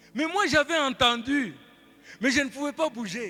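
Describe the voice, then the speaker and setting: With music in the background, a man uses a raised, projected voice at an extremely high pitch, speaking in an animated tone at a fairly slow pace. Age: 70s. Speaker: pastor. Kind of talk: sermon.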